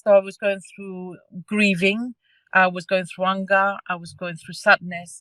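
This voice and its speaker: A woman's medium-pitched voice with a Cypriot accent and a bright, sharp tone, at a fairly slow pace, with a dry, close sound and no echo. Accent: Greek Cypriot. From Cyprus (Greek Cypriot). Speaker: parent carer. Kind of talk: testimony. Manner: halting.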